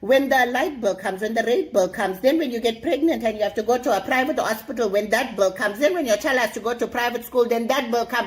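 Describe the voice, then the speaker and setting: The speaker has a South African accent. The delivery comes at a very fast pace. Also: woman. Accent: Durban South African English. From South Africa, Durban. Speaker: comedic character guest. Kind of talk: comedic monologue. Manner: animated.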